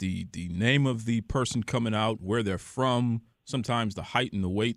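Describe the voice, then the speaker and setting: In an unremarkable speaking voice, a man talks at a fairly quick pace with medium pitch and ordinary pitch variation. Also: very clean recording, silent background. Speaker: podcast host. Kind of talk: podcast interview questions.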